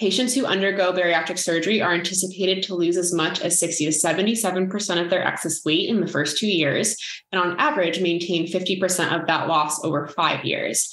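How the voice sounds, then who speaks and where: A woman's fairly low-pitched voice at a very fast pace, with hardly any pauses, very even loudness, ordinary pitch variation, audible room echo and noticeable background noise. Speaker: dietitian and author. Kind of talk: reading aloud from own book. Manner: calm and measured while reading.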